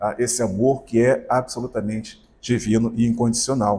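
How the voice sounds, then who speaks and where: Dark and mellow in tone, the man's voice has a somewhat breathy quality. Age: 60s. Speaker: spiritist lecturer. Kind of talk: sermon.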